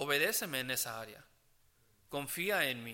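This man talks with fairly even intonation and a bright, sharp tone. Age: 20s. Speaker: preacher. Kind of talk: sermon preaching to a congregation, earnest and conversational. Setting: church; church service with congregation. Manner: earnest, halting, with frequent fillers and restarts; plain-spoken, gently exhorting.

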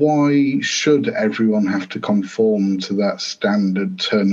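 A man with a northern English accent at a fairly slow pace. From northern England, Grimsby. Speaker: football author and coach. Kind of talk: interview.

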